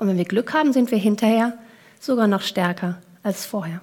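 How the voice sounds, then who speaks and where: A woman at a fairly high pitch, with lively intonation and a moderate pace. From Kenya and Germany, several countries. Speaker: coach and keynote speaker. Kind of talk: keynote talk.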